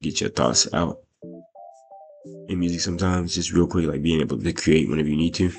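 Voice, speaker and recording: Ordinary pitch variation in a man's very deep, low-pitched voice. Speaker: rapper and video creator. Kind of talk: casual Q&A vlog. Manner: rambling with many fillers.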